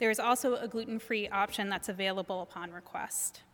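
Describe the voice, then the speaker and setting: A woman with an unremarkable speaking voice talks at a fairly quick pace with ordinary pitch variation. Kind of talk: announcements. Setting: church.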